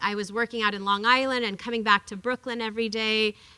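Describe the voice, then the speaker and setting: Loud and quick-paced, a woman speaks with a fairly high pitch and a bright, sharp tone. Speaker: workers rights advocate and author. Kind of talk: lecture. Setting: classroom talk with audience. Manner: animated.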